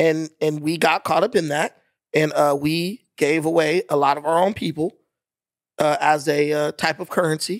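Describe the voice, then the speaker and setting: A man with an unremarkable speaking voice and an American accent speaks at a moderate pace with fairly high pitch and fairly even intonation, the sound dry and close with no echo. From United States. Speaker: podcast guest, debater. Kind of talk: heated debate.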